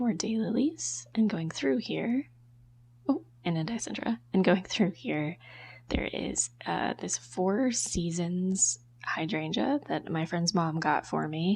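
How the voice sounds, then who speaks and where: This woman's voice is somewhat breathy, with very wide pitch swings. She talks at a very slow pace. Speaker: amateur gardener. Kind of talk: garden tour narration. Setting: outdoors.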